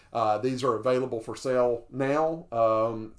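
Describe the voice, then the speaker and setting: Pitched in the middle range, a man talks with fairly even intonation. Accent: Southern US. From US South, southern Alabama. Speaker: retro computer video creator. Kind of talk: product review tutorial. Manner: halting, many fillers.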